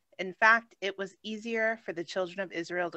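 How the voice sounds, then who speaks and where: With an unremarkable speaking voice, a woman talks at a moderate pace in a medium pitch and ordinary pitch variation. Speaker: class participant. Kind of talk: reading aloud. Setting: video call.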